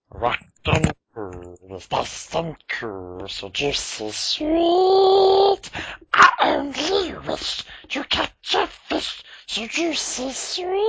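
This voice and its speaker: Very slowly, the speaker drags through the lines in a put-on character voice. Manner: creepy, wheedling.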